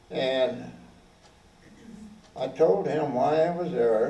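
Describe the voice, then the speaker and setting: With very wide pitch swings, a man speaks at a fairly high pitch against noticeable background noise. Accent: American. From Oklahoma. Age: 80s+. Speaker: war veteran. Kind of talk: talk to an audience.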